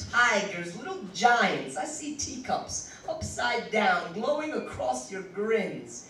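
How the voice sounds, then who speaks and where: There is noticeable background noise. A man with an extremely high pitch speaks at a very slow pace. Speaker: slam poet. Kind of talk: poetry reading. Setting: live venue.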